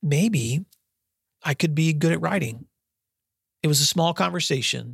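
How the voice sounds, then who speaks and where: Delivery is fairly slow. It carries an American accent. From US South, West Tennessee. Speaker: podcast host and school principal. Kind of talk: solo podcast monologue with personal storytelling.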